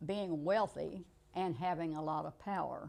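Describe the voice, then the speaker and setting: A woman's fairly low, dark, mellow voice in an American accent, fairly slow in pace with fairly even intonation. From rural US. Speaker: interviewee, retired manager. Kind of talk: interview.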